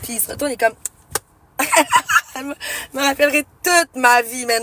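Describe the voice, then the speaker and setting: A woman with a high pitch and ordinary pitch variation, in a dry, close sound with no echo but with noticeable background noise. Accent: Quebec. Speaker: streamer. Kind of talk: casual storytelling. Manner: loud; animated.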